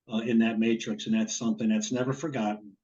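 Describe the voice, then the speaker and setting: A man with a New Jersey accent. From northern New Jersey. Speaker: former college quarterback. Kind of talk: interview.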